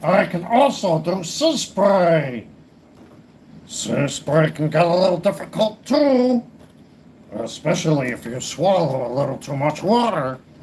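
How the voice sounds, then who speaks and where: In a put-on character voice, the man pitches himself high and speaks at a fairly slow pace. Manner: character voice impression.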